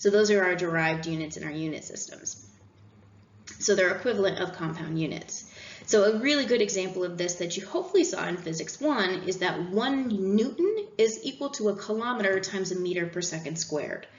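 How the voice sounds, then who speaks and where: Here a woman talks at a fairly quick pace with lively intonation. Room echo is audible. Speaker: engineering instructor; instructor. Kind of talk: recorded lecture. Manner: fast. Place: home room.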